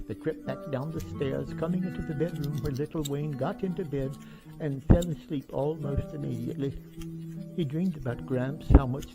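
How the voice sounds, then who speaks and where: Music runs in the background while the talking holds a moderate pace. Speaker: amateur storyteller reading his own short story. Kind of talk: read short story narration. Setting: camera microphone, some plosive pops.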